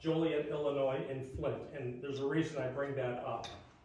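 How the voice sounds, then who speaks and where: With audible room echo and noticeable background noise, a man speaks in a monotone, flat intonation at a moderate pace. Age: 60s. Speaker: resident speaking at public meeting. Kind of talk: public comment at township board meeting. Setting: township board meeting.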